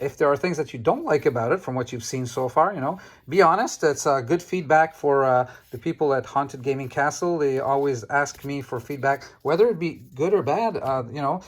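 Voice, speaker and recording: A man with a Quebec accent and fairly high pitch, at a fairly quick pace with ordinary pitch variation, on a very clean recording with a silent background. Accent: French Canadian accent in English. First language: French. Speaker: trading card game YouTuber. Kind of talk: casual card-opening video talk. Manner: halting, many fillers.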